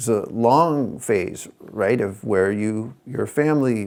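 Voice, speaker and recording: In a very clean recording with a silent background, a man of medium pitch speaks at a fairly slow pace with ordinary pitch variation. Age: 60s. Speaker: yoga teacher and podcast host. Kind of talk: solo podcast monologue. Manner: halting, many fillers.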